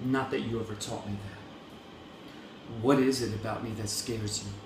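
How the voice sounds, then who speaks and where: The tone is angry and intense, with fairly even intonation. Noticeable background noise runs behind it. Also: man. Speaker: spoken word poet. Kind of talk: slam poetry performance. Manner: angry, intense.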